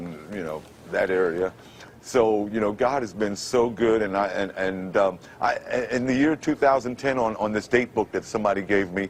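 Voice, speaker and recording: A man with a fairly low pitch and a New York accent, at a moderate pace. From Brooklyn, New York. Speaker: former radio announcer. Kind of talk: TV interview answer.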